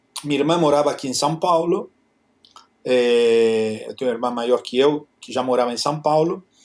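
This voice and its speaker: Speaking at a moderate pace, a man talks in a Spanish accent. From Argentina, Buenos Aires. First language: Spanish (speaking Portuguese). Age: 60s. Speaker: photographer. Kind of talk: interview. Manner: halting.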